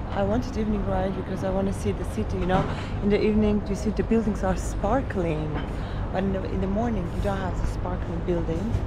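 Loud background noise surrounds a woman talking at a very fast pace. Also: dry sound with no echo. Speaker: travel vlogger. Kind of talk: casual vlog chat. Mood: excited. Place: waterside. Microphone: phone near.

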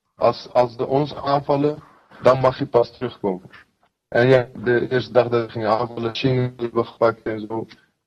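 A man speaks at a moderate pace in a somewhat breathy voice with monotone, flat intonation. The background is quiet. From Kurdistan. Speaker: fighter. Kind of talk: interview. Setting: video call. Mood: earnest, sometimes smiling. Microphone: video call.

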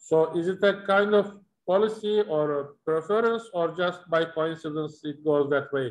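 Speaking with a Turkish accent, this voice moves at a fairly slow pace. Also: man, high pitch for a man, ordinary pitch variation. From Turkey. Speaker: panel moderator, timber industry association chairman; panel moderator. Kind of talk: panel discussion moderation. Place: home room. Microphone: video call.

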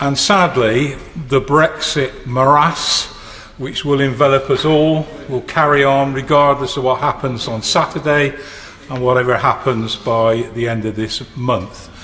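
The intonation stays fairly even. There is light background noise. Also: man, fairly slow pace. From England. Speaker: member of parliament. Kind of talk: parliamentary speech. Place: hall. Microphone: podium.

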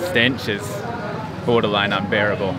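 Over loud background noise, a man talks at a fairly quick pace with a dry sound with no echo. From New Zealand. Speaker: travel vlogger. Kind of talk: travel vlog narration. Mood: earnest, somewhat shocked. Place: street. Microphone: phone near.

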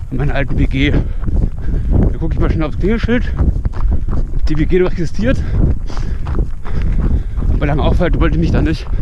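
A man's fairly quick speech, dry with no echo, competes with loud background noise. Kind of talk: casual vlog chat. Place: open country. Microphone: phone near.

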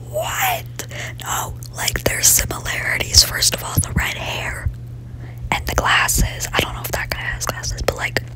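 A woman whispers fairly slowly, with long pauses coming often. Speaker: ASMR content creator. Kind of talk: gaming ASMR ramble. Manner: whispered; casual, chatty.

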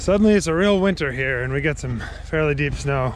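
Noticeable background noise accompanies a man speaking at a moderate pace in a dry sound with no echo. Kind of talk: casual vlog chat. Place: forest. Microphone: phone near.

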